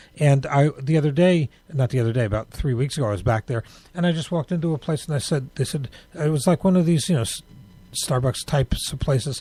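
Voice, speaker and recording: Talking at a very fast pace, a man with an American accent has a fairly high pitch, a dark, mellow tone and a somewhat breathy quality, recorded dry and close with no echo. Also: ordinary pitch variation. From New York. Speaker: radio show host. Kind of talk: casual interview chat. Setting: radio studio, live broadcast.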